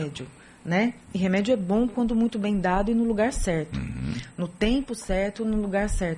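A woman speaks in an unremarkable speaking voice at a medium pitch. Her intonation is lively. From São Paulo, Brazil. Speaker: rheumatologist. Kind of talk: radio interview. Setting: radio studio.

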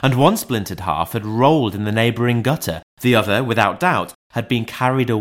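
A natural reading voice with fairly even intonation against a quiet background

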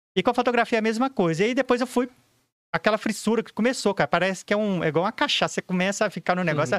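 A high-pitched man speaks at a very fast pace with ordinary pitch variation. The recording is very clean with a silent background and has a dry, close sound with no echo. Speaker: professional photographer. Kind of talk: casual podcast interview.

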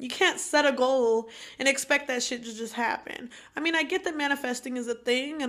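A woman speaks at a moderate pace, her pitch high. Her intonation stays fairly even. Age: 20s. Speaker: podcast co-host. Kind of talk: casual chat.

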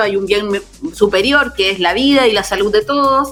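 A woman talks fairly slowly at a fairly high pitch with ordinary pitch variation, noticeable background noise behind her. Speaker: radio host. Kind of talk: casual chat. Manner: animated.

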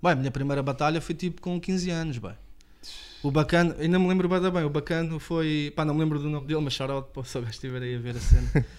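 Delivering his words at a very fast pace, the man has a fairly high pitch. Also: ordinary pitch variation. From Portugal, Lisbon area (Apelação). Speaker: rapper. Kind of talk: casual chat. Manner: casual, slangy.

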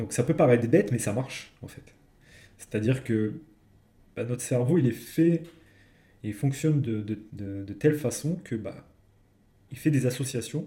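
Somewhat breathy, dark and mellow tone at a fairly slow pace, with big swings in loudness, long, frequent pauses and ordinary pitch variation. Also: man, medium pitch for a man. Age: 30s. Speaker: podcast co-host discussing non-fiction books. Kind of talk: casual chat.

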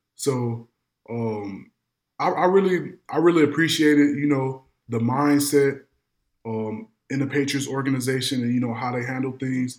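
Here is an ordinary speaking voice with an American accent. Its pitch variation is ordinary and its pace moderate. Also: man, medium pitch for a man. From Madison, Illinois, near St. Louis. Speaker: former pro football player. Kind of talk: interview.

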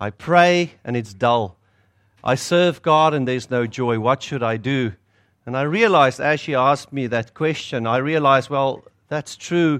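A man speaks at a moderate pace with a medium pitch and ordinary pitch variation against a quiet background. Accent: South African. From South Africa. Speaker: pastor. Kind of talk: sermon. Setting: stage with audience.

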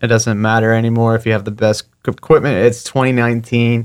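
On a very clean recording with a silent background, a man with an American accent talks at a moderate pace. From South Florida (Fort Lauderdale). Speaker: videographer and social media creator. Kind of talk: casual interview. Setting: studio.

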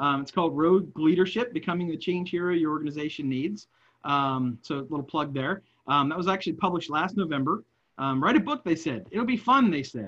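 With lively intonation and a fairly quick pace, this is an unremarkable speaking voice. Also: man, fairly high pitch for a man. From West Virginia, Wheeling area. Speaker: leadership speaker and nonprofit consultant. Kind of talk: interview. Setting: remote call.

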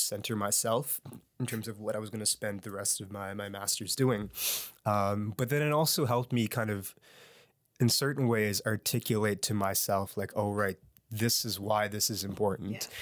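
This man has a fairly low voice, a Nova Scotian accent and fairly even intonation. The recording is very clean, with a silent background. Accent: Canadian (Nova Scotia). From Halifax, Nova Scotia, Canada. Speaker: musician and educator. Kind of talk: interview.

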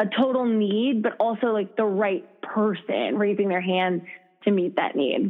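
An ordinary speaking voice from a woman, medium in pitch, with ordinary pitch variation, a fairly slow pace and very even loudness. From US Midwest, Minnesota. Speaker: founder of a fitness app. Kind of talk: casual interview chat. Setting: phone call.

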